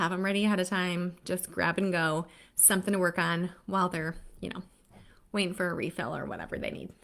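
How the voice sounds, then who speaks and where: Recorded very cleanly against a silent background, a woman talks at a fairly quick pace in a medium pitch, her intonation monotone and flat. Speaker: literacy educator, live stream co-host. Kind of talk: live stream tips talk. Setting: Facebook live stream. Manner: fast; casual, chatty.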